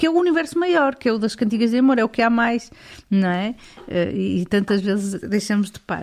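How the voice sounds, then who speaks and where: A woman talks at a fairly quick pace in a fairly high pitch with lively intonation. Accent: European Portuguese. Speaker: podcast host. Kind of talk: interview. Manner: halting.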